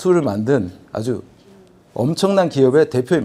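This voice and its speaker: A man with a dark, mellow tone speaks at a fairly high pitch with lively intonation. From Busan, South Korea. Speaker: business executive, forum presenter. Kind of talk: conference presentation. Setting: convention hall with audience.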